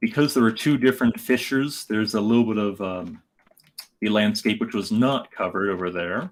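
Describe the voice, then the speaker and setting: A man talks at a fairly quick pace. His pitch is medium with ordinary pitch variation. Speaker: geologist YouTuber. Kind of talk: livestream commentary. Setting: livestream, flying drone remotely. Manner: somewhat robotic, less emotive; halting with fillers.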